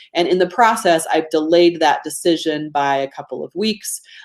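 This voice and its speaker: A woman with an American accent talks at a moderate pace. Her pitch is fairly low, with ordinary variation. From US state of Georgia. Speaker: business coach running a webinar. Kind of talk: live webinar presentation. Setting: live online webinar. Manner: casual, conversational.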